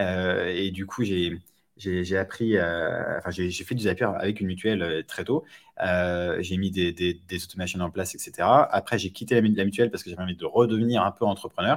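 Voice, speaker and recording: This man has a very deep, low pitch. His intonation is fairly even. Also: moderate pace. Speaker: startup co-founder. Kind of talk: interview.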